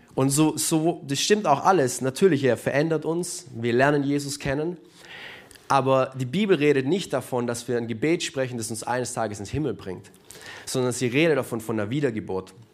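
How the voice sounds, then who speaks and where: Long, frequent pauses within a moderate pace, plus ordinary pitch variation. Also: man. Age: 20s. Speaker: church youth leader. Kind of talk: sermon. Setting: church service with live audience and livestream.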